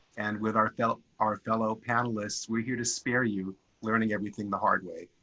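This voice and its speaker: In a New York accent, a man talks at a fairly quick pace with a fairly low pitch, a bright, sharp tone, and monotone, flat intonation. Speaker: product management consultant. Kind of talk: panel discussion.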